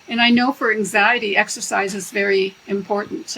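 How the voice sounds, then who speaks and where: A woman's medium-pitched voice with fairly even intonation and noticeable background noise. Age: 70s. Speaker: professor emerita and EMF researcher. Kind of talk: interview.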